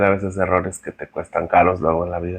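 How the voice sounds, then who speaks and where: This man talks with a central Mexican accent. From Mexico, San Luis Potosí. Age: 40s. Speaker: podcast guest sharing his testimony. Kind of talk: testimony. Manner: halting, many fillers and repeats.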